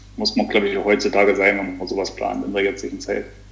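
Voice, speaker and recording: A man speaks over noticeable background noise. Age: 30s. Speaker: business owner and amateur triathlete. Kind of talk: casual interview. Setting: remote call.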